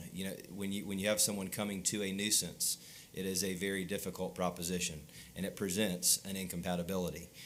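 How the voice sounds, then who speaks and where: A man with a very deep, low voice speaks very fast in a flat monotone. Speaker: attorney representing a mining client. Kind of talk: public hearing testimony.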